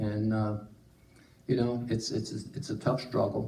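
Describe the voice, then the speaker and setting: A somewhat breathy voice with a dark, mellow tone comes through with audible room echo. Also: man. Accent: American. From Tennessee. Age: 70s. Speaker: church member. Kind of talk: testimony. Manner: halting.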